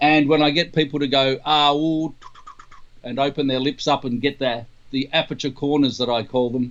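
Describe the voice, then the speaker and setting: A man with an Australian accent, at a moderate pace and with fairly even intonation. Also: fairly high pitch for a man. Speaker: trumpeter and trumpet teacher. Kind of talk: interview Q&A.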